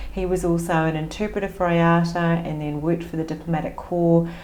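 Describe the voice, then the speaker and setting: A woman with an Australian accent talks at a fairly quick pace in a fairly low voice. Audible room echo and noticeable background noise are present. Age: 50s. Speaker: business coach. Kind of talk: podcast interview.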